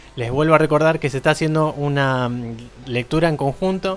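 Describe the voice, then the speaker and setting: The man talks at a moderate pace in a fairly high pitch. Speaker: podcast host. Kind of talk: casual chat.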